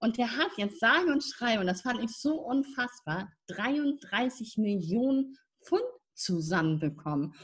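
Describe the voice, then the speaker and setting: A woman with a high pitch speaks at a very slow pace, her voice swinging very widely in pitch. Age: 50s. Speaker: spiritual mentor and nonprofit founder. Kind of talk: casual interview.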